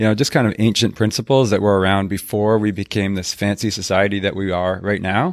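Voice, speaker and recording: With a very clean recording and a silent background, a man speaks at a fairly quick pace and fairly low pitch in an unremarkable speaking voice. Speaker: personal finance blogger, panelist. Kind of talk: panel discussion answering audience questions.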